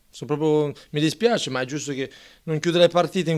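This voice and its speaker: A man is speaking. The background is quiet. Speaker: losing team coach. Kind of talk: post-match interview. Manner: disappointed, rueful. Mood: disappointed after a loss. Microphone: handheld.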